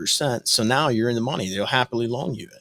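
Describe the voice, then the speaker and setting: Very fast speech comes from a man at a medium pitch, the sound dry and close with no echo. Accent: American. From US Midwest (northwest Ohio). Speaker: real estate investor. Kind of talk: podcast interview.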